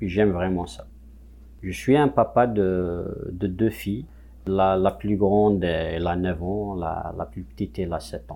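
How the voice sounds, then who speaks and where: A man with an Algerian accent speaks at a very slow pace in a very deep, low pitch. His intonation is lively, with big swings in loudness. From Kabylie, Algeria. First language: Kabyle (speaking French). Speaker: musician. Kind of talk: interview testimony. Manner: halting.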